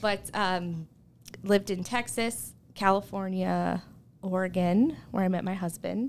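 With an American accent and a plain, everyday voice, a woman speaks at a fairly slow pace, medium pitch and ordinary pitch variation. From southwestern Pennsylvania, Uniontown. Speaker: travel blogger and speech language pathologist. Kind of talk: casual chat. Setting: studio.

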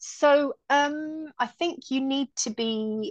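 Over a quiet background, a woman with a British accent speaks in a high voice with very wide pitch swings, the sound dry and close with no echo. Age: 30s. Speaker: airline pilot. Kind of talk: casual chat.

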